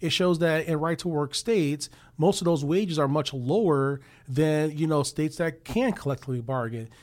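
On a very clean recording with a silent background, a man with an unremarkable speaking voice talks at a moderate pace and a fairly high pitch. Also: ordinary pitch variation. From Chicago. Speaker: union official. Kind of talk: interview.

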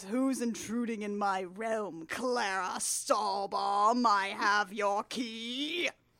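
Putting on a booming character voice at medium pitch, a woman talks very slowly with hardly any pauses.

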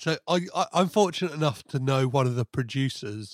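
A man with a British accent speaks at a moderate pace in a dry, close sound with no echo. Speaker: podcast host. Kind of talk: casual chat. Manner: stutters at times.

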